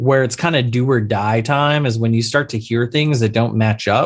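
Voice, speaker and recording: Speaking at a fairly quick pace, a man with a plain, everyday voice holds a medium pitch with ordinary variation. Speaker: insurance attorney. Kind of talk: casual interview chat. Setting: call.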